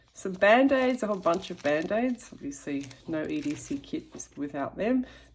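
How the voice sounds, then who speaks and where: A woman with an Australian accent, somewhat breathy, with very wide pitch swings at a moderate pace. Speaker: YouTuber. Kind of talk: show-and-tell tutorial. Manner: casual, hesitant with fillers.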